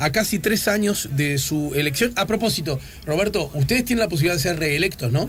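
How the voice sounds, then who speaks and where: This man has a high pitch, ordinary pitch variation and a fairly quick pace. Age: 50s. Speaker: radio host. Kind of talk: radio interview. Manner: casual.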